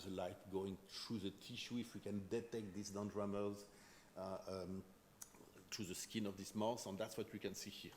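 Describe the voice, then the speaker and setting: A man speaks with a French accent at a fairly low pitch. His intonation is monotone and flat. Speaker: chemistry professor. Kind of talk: lecture. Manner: fast.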